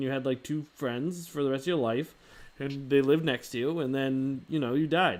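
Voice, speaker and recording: Recorded very cleanly with a silent background, a man speaks in a fairly high pitch with ordinary pitch variation. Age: 30s. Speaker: livestream host. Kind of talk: casual chat. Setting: live stream.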